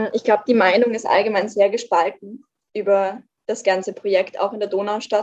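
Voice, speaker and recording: A woman's medium-pitched voice, monotone and flat in intonation, at a moderate pace. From Austria, Vienna. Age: 20s. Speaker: climate activist spokesperson. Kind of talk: podcast interview.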